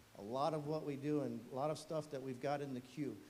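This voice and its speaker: A man speaks at a fairly quick pace with a dark, mellow tone and a fairly high pitch. His intonation stays fairly even, and audible room echo surrounds him. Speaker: fire chief. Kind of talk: presentation to council. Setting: council meeting room. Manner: fast.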